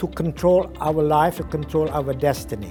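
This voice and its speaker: A man talks at a fairly high pitch and a moderate pace, with music in the background. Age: 70s. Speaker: professor and trainer, author. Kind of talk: interview answer.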